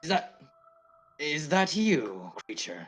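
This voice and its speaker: A man does a loud, put-on character voice in a fairly high pitch. Music plays in the background. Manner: loud, startled, speaking aloud.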